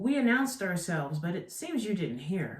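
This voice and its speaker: The speaker uses a put-on character voice at a middle pitch and a moderate pace. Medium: read story. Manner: slick, sleazy salesman tone.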